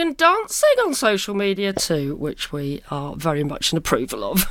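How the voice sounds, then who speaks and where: This woman talks in a British accent. She keeps to a moderate pace. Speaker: podcast host. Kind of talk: casual chat. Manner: animated.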